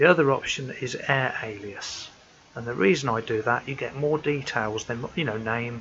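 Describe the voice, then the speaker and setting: A soft-spoken man with a British accent at a fairly slow pace, amid noticeable background noise. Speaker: amateur radio hobbyist. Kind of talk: tutorial. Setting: at home.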